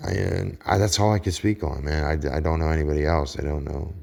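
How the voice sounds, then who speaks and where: With a Pittsburgh accent, a man talks fairly quickly in a very deep, low pitch and fairly even intonation. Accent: Pittsburgh way of talking, raw. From Pittsburgh, US. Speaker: online preacher. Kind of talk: casual religious monologue. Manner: halting, repetitive.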